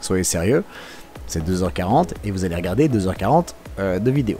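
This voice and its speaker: Against noticeable background noise, a man with a Belgian accent talks at a fairly quick pace. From Belgium. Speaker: car vlogger. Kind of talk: live voice-over commentary. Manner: casual, hesitant with many fillers.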